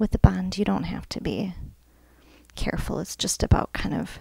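Whispering at a moderate pace. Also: woman. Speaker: ASMR content creator. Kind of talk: ASMR nail painting tutorial, casual talk to camera. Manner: friendly, casual, conversational. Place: home room. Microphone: phone near.

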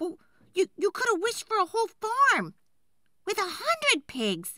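In a put-on character voice, a woman speaks at a fairly slow pace with an extremely high pitch, very wide pitch swings and a bright, sharp tone.

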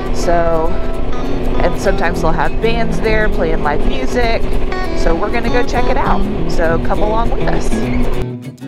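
A woman's voice, dry with no echo, over loud music in the background. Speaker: motorcycle vlogger. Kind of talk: casual vlog chat. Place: motorbike. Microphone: helmet.

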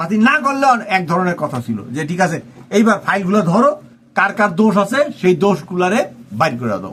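A man speaks in a high pitch. His voice makes very wide pitch swings. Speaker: political commentator. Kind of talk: political commentary monologue.

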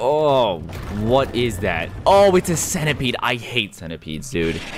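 Faint music sits in the background while the speaker talks at a very slow pace. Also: man. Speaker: video creator. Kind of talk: casual reaction commentary. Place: home room. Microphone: studio mic.

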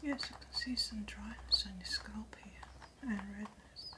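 A woman at a fairly slow pace, with noticeable background noise. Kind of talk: ASMR roleplay. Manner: soft-spoken.

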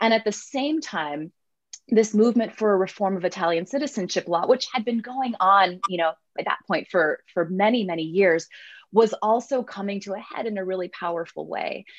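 The pace is moderate and the pitch varies in an ordinary way. The background is quiet. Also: woman. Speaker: professor. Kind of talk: panel discussion. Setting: video call. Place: home room. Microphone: webcam.

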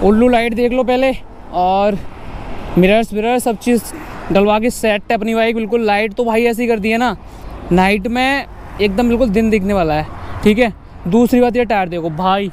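A man with a high pitch speaks at a moderate pace with fairly even intonation and long, frequent pauses. The sound is dry with no echo, and there is light background noise. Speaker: motovlogger. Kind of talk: casual vlog chat. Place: motorbike. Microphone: helmet.

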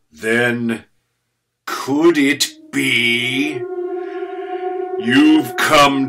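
This man talks very slowly. His voice is a put-on character voice. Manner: sinister, mocking.

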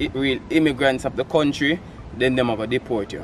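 A man speaks with a Jamaican accent. The sound is dry with no echo, over light background noise. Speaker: vlogger and portrait artist; vlogger host. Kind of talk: casual vlog talk. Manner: animated. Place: garden. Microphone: camera far.

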